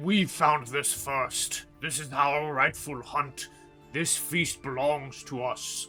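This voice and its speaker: Using a put-on character voice, a man speaks at a very slow pace with fairly high pitch as clear music plays in the background. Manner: territorial, menacing.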